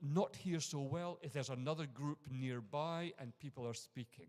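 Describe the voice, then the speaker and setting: Here is a man with an Edinburgh accent and a fairly high pitch. He keeps a moderate pace with ordinary pitch variation. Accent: Scottish (Edinburgh). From Scotland, Edinburgh. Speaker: university lecturer and conference speaker. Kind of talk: conference talk. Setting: conference room with audience.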